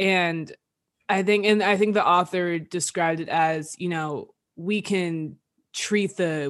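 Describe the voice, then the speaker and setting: Fairly low pitch from a woman with an unremarkable speaking voice and ordinary pitch variation, over a quiet background. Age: 20s. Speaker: podcast co-host. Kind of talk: casual chat.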